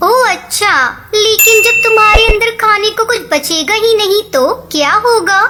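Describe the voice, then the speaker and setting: A cartoonish character voice, female-sounding and extremely high-pitched for a woman, at a fairly slow pace over loud background noise. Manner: gentle, sweet.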